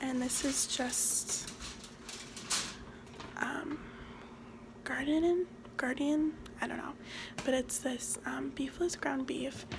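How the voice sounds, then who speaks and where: A soft-spoken woman talks at a very slow pace with a high pitch, fairly even intonation, and long, frequent pauses. Noticeable background noise runs underneath. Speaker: ASMR creator; restaurant server. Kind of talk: ASMR cooking talk to camera.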